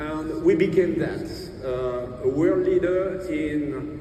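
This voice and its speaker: Through noticeable background noise and audible room echo, a speaker with a French accent talks with fairly even intonation. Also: man. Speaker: business executive, keynote speaker. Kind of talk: keynote speech.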